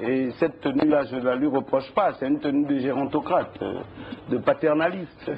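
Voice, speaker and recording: A man with a fairly high-pitched voice speaks over noticeable background noise. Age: 60s. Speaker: politician. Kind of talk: TV interview.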